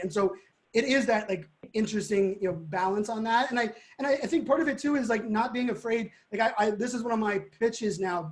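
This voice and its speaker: This man speaks at a very fast pace in a high pitch, with ordinary pitch variation and an animated tone. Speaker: digital futurist and keynote speaker. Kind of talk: live webinar conversation.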